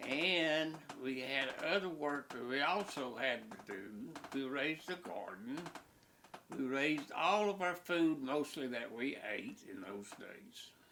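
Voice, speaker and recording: With noticeable background noise, a man in an Appalachian accent speaks at a fairly slow pace and fairly high pitch with lively intonation. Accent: Appalachian Southern US. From Southwest Virginia. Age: 90s. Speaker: elderly man recalling his life. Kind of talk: interview reminiscence.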